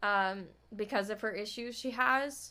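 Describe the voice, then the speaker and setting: A woman speaks loudly in a bright, sharp tone. The recording is very clean, with a silent background. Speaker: streamer. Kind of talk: casual chat.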